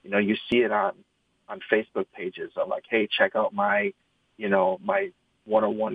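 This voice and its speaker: Fairly quick speech with a Midwestern American accent. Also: man. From Michigan, East Lansing. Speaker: trading card product manager. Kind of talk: interview. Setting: video call.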